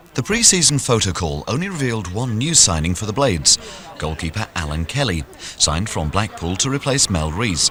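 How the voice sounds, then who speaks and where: Over noticeable background noise, a man with fairly low pitch speaks at a fairly quick pace with very wide pitch swings. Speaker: radio presenter. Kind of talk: sports documentary narration.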